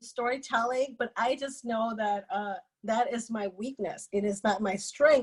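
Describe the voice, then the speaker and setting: A woman speaks in a high pitch with a Lao accent. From Laos. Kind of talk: interview testimony.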